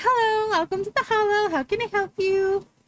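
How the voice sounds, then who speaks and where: This is a put-on character voice pitched extremely high. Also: moderate pace. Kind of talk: customer service.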